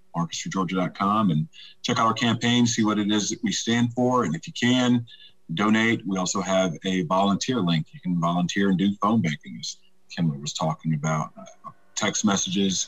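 With a Southern US accent, a man talks at a moderate pace in a fairly low pitch, his intonation lively. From US South, Troy, Alabama. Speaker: political candidate and army veteran. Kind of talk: interview.

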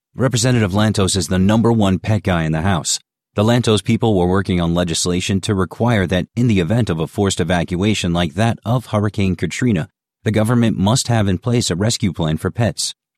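A man with an ordinary speaking voice talks at a fairly quick pace, fairly low in pitch, with ordinary pitch variation and very even loudness. The recording is very clean and dry, close with no echo, against a silent background. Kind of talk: literary audiobook reading of a humorous first-person column, wry and conversational. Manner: measured, narrative pacing with mock-earnest tone.

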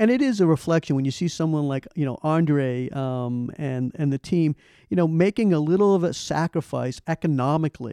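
The voice has a dark, mellow tone and an American accent. The sound is dry and close with no echo, over a quiet background. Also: man. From Boston, US. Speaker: tech company CEO. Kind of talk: interview. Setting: in person, company office.

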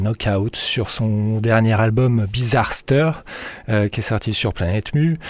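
A man with a medium-pitched voice talks at a fairly slow pace over noticeable background noise. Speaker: radio DJ. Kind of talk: radio DJ patter over a techno/house mix, casual and relaxed. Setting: radio studio, broadcast on FM. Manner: relaxed, conversational, laid-back; halting, with many fillers (euh) and repeated words.

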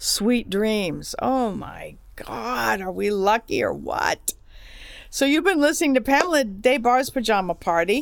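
At a fairly slow pace, a woman speaks with lively intonation and a high pitch. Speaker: podcast host. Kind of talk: casual chat. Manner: animated.

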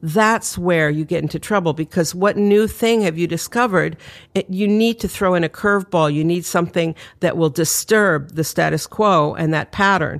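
An ordinary speaking voice from a woman with an American accent, pitched fairly low with ordinary pitch variation. She talks at a moderate pace on a very clean recording with a silent background. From New York City. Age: 60s. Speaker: author and designer. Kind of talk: casual interview chat.

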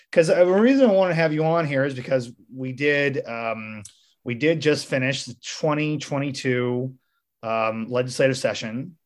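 At a fairly slow pace, a man with a fairly high pitch and ordinary pitch variation talks in a plain, everyday voice. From rural Missouri. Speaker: podcast host. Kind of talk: casual interview.

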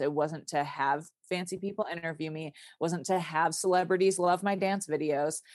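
Against a quiet background, a woman with an American accent and an ordinary speaking voice talks at a moderate pace, her pitch fairly low and her intonation fairly even. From Michigan, US Midwest. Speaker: dancer, writer and quiltmaker. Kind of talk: casual interview conversation.

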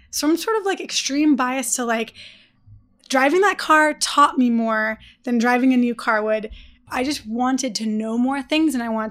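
In a very clean recording with a silent background, a woman with an American accent speaks in a high pitch, animated in tone, at a moderate pace. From US Midwest, Detroit. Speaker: startup founder and CEO. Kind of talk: interview. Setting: on-site at company office. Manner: casual, filler-heavy.

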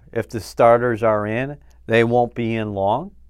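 Against a quiet background, a man speaks in a plain, everyday voice at a medium pitch. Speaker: team reporter. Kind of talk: casual sports podcast chat.

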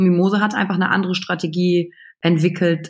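A woman speaks at a moderate pace with a fairly low pitch. Her voice is somewhat breathy. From western Germany, Wülfrath near Wuppertal (NRW). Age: 30s. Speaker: emotional intelligence coach. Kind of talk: podcast interview. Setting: remote call from home computer.

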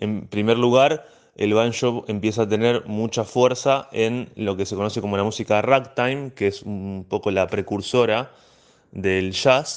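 Against a quiet background, a man talks fairly slowly with a fairly low pitch and fairly even intonation. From La Plata, Argentina. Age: 20s. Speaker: banjo teacher. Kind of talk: interview. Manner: hesitant.

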